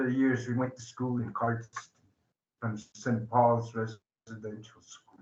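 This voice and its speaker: Fairly slow, somewhat breathy speech with big swings in loudness and monotone, flat intonation. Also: man. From southern Alberta, Blackfoot reserve. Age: 60s. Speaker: addiction recovery advocate. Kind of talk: public talk. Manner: halting, many fillers.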